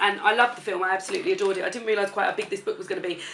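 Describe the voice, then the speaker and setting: Ordinary pitch variation from a woman, with noticeable background noise behind her. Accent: British. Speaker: book reviewer. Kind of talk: casual talk to camera.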